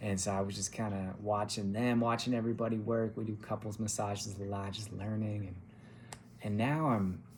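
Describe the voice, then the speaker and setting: A man with an American accent, fairly low pitch, monotone, flat intonation and a fairly quick pace, with audible room echo. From California. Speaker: massage therapist. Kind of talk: interview answers, casual. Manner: halting, many fillers.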